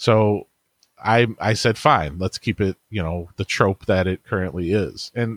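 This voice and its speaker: This is a normal speaking voice, a man at a fairly low pitch with ordinary pitch variation and a moderate pace. The sound is dry and close with no echo, on a very clean recording with a silent background. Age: 40s. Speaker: internet marketer and author. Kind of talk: interview.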